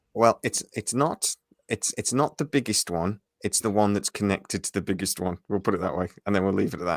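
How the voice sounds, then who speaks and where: The voice has a British accent. It is quiet. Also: man, fairly low pitch for a man, ordinary pitch variation, fairly quick pace, dry, close sound with no echo. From Britain. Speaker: YouTube channel host. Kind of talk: casual chat. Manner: quiet, keeping voice down.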